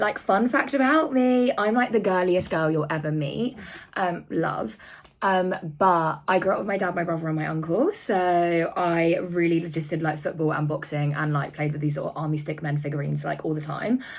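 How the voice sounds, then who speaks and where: A woman speaks in an animated tone with lively intonation. Her pitch is fairly low. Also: moderate pace. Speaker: vlogger. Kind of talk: casual vlog talk. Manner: chatty, rambling.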